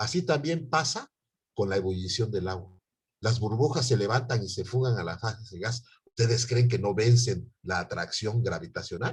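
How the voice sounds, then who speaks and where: This man's voice is somewhat breathy, sitting at a medium pitch with ordinary pitch variation. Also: moderate pace. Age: 60s. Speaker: university chemistry professor. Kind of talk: online lecture.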